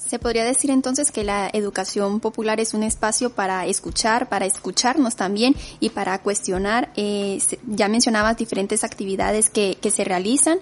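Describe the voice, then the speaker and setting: A woman with a plain, everyday voice speaks at a moderate pace in a fairly high pitch, with ordinary pitch variation. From Nicaragua. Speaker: radio host. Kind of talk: radio interview.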